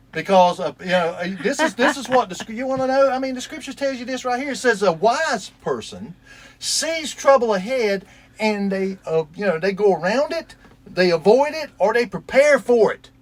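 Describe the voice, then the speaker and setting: A man's extremely high voice at a moderate pace, with lively intonation and big swings in loudness, over noticeable background noise. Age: 60s. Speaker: store owner. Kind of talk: heated debate. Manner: animated.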